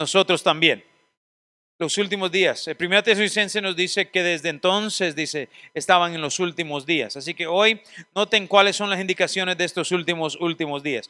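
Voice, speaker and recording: With a very clean recording, a silent background and a dry, close sound with no echo, a man speaks at a moderate pace in a high voice with ordinary pitch variation. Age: 40s. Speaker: seminary teacher. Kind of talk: lecture.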